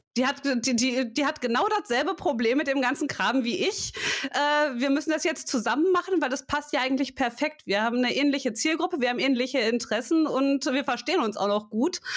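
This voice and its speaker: Over noticeable background noise, a woman speaks in an animated tone at high pitch and a fairly quick pace, with ordinary pitch variation and very even loudness. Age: 30s. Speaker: podcast co-host, logo and brand designer. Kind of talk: casual chat. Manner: animated, laughs often.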